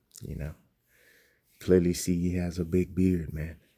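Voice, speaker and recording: Soft-spoken and very deep in pitch, a man talks with fairly even intonation and a dark, mellow tone. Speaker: religious teacher. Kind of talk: casual lesson commentary. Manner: soft-spoken, talking low; casual, many fillers.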